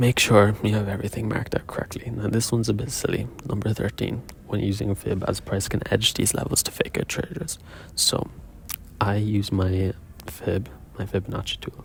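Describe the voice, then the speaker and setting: He is a soft-spoken man. His pitch is fairly low. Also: ordinary pitch variation. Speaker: day trader. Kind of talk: video diary. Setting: quiet room.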